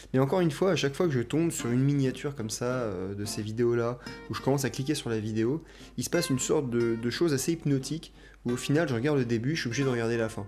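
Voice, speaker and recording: Over music in the background, a man talks at a very fast pace and medium pitch with ordinary pitch variation. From France. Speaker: chiropractor and YouTube reaction host. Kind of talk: casual talk to camera, commentary on video clips. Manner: conversational, relaxed, a little humorous.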